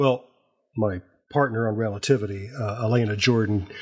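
A man's somewhat breathy medium-pitched voice at a fairly slow pace, in a very clean recording with a silent background. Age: 60s. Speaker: podcast creator and writer. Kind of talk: casual chat. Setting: on the road.

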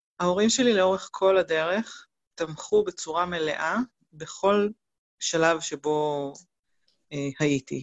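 A woman's fairly low voice at a very slow pace, with ordinary pitch variation and long, frequent pauses. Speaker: complementary therapist, single mother. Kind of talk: interview, personal testimony. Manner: hesitant, many fillers.

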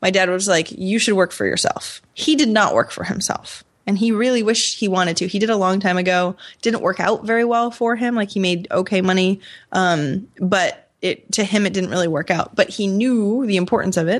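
A woman with an American accent and an unremarkable speaking voice talks at a fairly quick pace in a medium pitch. Her pitch varies in an ordinary way over a quiet background. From Maine, US. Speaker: entrepreneur and podcaster. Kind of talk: interview conversation.

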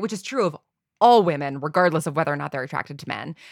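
A woman with a very deep, low pitch is heard in a dry, close sound with no echo. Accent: American. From New York, US Northeast. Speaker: audio drama creator and showrunner. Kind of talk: casual chat.

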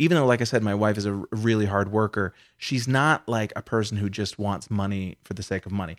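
In a very clean recording with a silent background, a man with an ordinary speaking voice and fairly low pitch talks at a fairly quick pace with ordinary pitch variation and hardly any pauses. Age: 50s. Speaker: comedian. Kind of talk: casual chat. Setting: hotel room.

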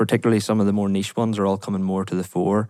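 Fairly low pitch from a man, in a monotone, flat intonation. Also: very clean recording, silent background. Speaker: grid connection manager, engineer. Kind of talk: interview, technical discussion.

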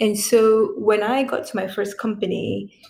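Against noticeable background noise, a woman speaks at medium pitch with fairly even intonation. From Cameroon, moved to US at 16. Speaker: lawyer and podcast host. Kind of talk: interview. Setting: remote recording.

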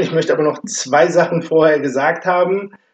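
Pitched high for a man, this male voice moves along at a moderate speed. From Offenbach, Hesse, Germany. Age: 50s. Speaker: amateur football club chairman. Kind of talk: casual chat. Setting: basement room recording.

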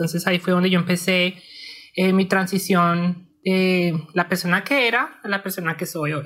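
Fairly even intonation at a moderate pace, in a very clean recording with a silent background. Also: woman, medium pitch for a woman. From Colombia. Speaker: pharmaceutical chemist and former asylum seeker. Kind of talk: personal testimony interview. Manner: hesitant, with many fillers.

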